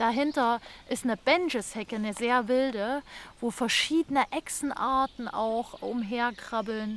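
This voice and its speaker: Fairly slow pace with ordinary pitch variation. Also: woman, high pitch for a woman. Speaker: podcast host. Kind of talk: podcast narration. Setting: outdoors.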